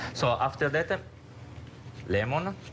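A man speaks with an Italian accent. There is noticeable background noise behind him. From Genoa area, Italy. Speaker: restaurant chef on a cooking segment. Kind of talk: interview answer. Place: kitchen. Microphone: lapel.

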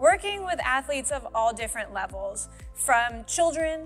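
A woman talks at a fairly slow pace while faint music sounds in the background. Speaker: fitness coach. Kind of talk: upbeat to-camera introduction. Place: gym.

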